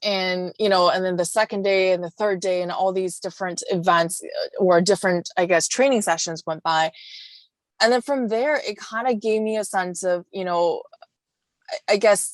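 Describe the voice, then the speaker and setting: A woman with a Chinese accent, medium pitch and ordinary pitch variation, in a dry, close sound with no echo. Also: moderate pace. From China, moved to Vancouver at 12-13. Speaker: wellness coach, entrepreneur. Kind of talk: podcast interview.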